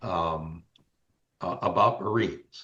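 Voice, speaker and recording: A somewhat breathy man speaks at a fairly slow pace. His intonation stays fairly even. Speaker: Marine Corps Vietnam veteran. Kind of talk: interview answer. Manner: hesitant, repetitive.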